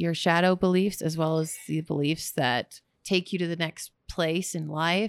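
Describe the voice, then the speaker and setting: With an American accent, a woman talks at a fairly slow pace in a dry, close sound with no echo. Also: very clean recording, silent background. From Texas. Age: 30s. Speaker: goals coach and motivational speaker. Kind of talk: casual interview. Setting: recorded together in person, portable mics. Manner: animated.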